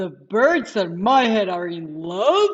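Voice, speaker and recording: In a put-on character voice, a female-sounding speaker talks at a fairly slow pace with medium pitch. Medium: read story. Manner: giggly, playful.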